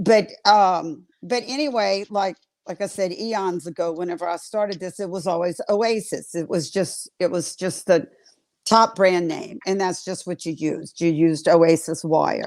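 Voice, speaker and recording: This woman has a Southern US accent and a medium pitch. She talks at a moderate pace with ordinary pitch variation. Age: 70s. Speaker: florist and wreath-making teacher. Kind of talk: casual chat. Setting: livestream. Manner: animated.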